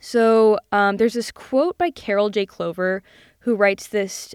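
On a very clean recording with a silent background, a woman speaks at a moderate pace with a dry, close sound and no echo. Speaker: film podcast host, college student. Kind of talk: casual solo monologue. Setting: home recording in a closet. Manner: casual, filler-heavy (um, like).

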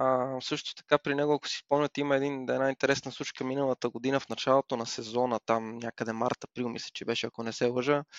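Here a man talks very fast in a medium-pitched voice. His intonation is monotone and flat. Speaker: motorsport commentator. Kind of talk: casual chat.

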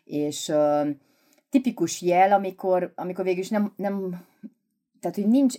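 A dark, mellow tone moves at a moderate pace on a very clean recording with a silent background. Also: woman. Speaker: psychologist / therapist. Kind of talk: casual expert conversation.

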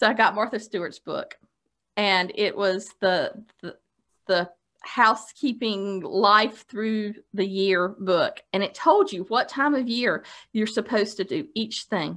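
In a very clean recording with a silent background, a woman talks at a fairly slow pace with a fairly high pitch and ordinary pitch variation. She has an ordinary speaking voice. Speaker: podcast co-host. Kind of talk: casual chat. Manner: playful.

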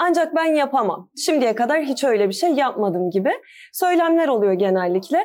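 This woman's voice sits high and swings very widely in pitch. Her pace is moderate. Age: 20s. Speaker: DIY home decor blogger and teacher. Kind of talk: casual interview.

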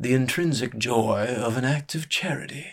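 Putting on a character voice, a man drawls at a moderate pace and medium pitch. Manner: slow drawl, sardonic.

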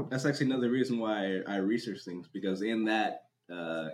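With an American accent and a plain, everyday voice, a man talks at a fairly quick pace and a fairly low pitch with ordinary pitch variation. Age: 30s. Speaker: drift community content creator. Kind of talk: casual chat.

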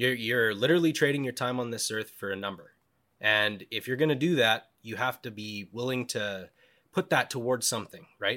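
A man with a western Canadian accent and a bright, sharp tone at a moderate pace, on a very clean recording with a silent background. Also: medium pitch for a man, ordinary pitch variation. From western Canada (British Columbia, Cranbrook). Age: 20s. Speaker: wilderness survivor. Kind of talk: casual interview storytelling.

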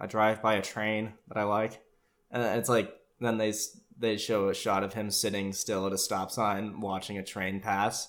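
On a very clean recording with a silent background, a man with an unremarkable speaking voice talks at a moderate pace. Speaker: podcast host. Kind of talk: casual comedic rant about a TV show. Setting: solo monologue. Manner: informal, profane, joking.

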